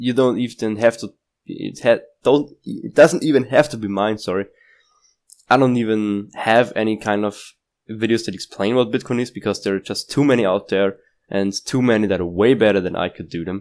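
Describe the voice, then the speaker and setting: In a very clean recording with a silent background, a man with a non-native accent speaks at a moderate pace and a fairly low pitch, with ordinary pitch variation. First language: not English. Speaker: crypto YouTuber. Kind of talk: casual market analysis talk. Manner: halting, with restarts and fillers.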